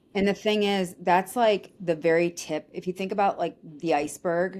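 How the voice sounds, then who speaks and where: Talking at a fairly quick pace, a woman uses a fairly low pitch with ordinary pitch variation. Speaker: recruiting firm founder. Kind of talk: interview. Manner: loud when passionate; animated.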